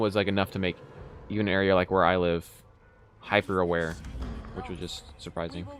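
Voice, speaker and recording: Someone with a slight Texan accent talks at a very fast pace. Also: man. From Texas. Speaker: game streamer. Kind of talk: casual chat. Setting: live stream with webcam.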